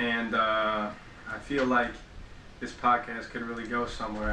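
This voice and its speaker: Over noticeable background noise and audible room echo, a man speaks at a moderate pace and medium pitch in a monotone with flat intonation. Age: young. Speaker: podcast co-host. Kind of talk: casual chat.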